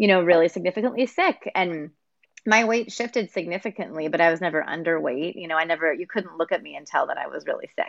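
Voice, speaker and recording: Very fast speech from a woman with an American accent, fairly low in pitch, in a dry, close recording with no echo. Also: ordinary pitch variation. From Texas. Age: 30s. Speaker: nonprofit executive director. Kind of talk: casual interview. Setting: video call.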